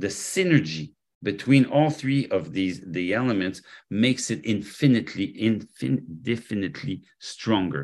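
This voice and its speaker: A man with a French accent speaks at a moderate pace with fairly low pitch and very wide pitch swings against a quiet background. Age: 60s. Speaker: health product formulator and company executive. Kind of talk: interview.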